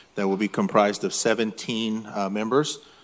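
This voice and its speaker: Using an ordinary speaking voice, a man with a fairly low pitch talks at a moderate pace with fairly even intonation. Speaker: city council member. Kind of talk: formal statement at public meeting. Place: hall. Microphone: podium.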